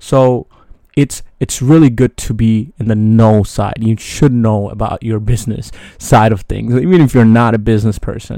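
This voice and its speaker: A man with an American accent, medium pitch, ordinary pitch variation and a moderate pace. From New York City. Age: 20s. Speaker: solo podcaster. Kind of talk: casual monologue. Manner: hesitant, many fillers.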